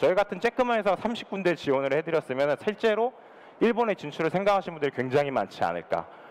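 A man speaks at a very fast pace in a high voice, his intonation lively and his loudness very even. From South Korea. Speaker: startup consultant and former venture capitalist. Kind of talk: conference talk. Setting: conference stage. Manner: formal. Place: studio.

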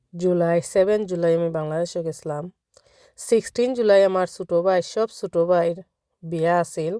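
A woman's fairly low voice with a dark, mellow tone, in a dry, close sound with no echo. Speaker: vlogger. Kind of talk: personal vlog, emotional account.

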